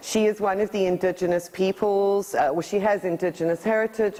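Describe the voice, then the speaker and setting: A woman's moderately paced speech is heard over noticeable background noise. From England, then thirty years in South Africa. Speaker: energy healer giving a talk. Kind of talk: presentation to an audience. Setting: talk in front of a live audience.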